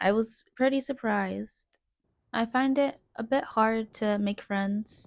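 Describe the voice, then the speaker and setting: Quiet and very slow, a woman speaks with a fairly high pitch. Her intonation stays fairly even. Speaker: vlogger. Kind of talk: personal storytelling vlog. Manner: quiet, reserved.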